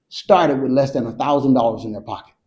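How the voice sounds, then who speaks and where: This man has a dark, mellow tone and speaks with a Southern US accent. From Georgia, USA. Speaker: military veteran. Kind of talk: interview answer.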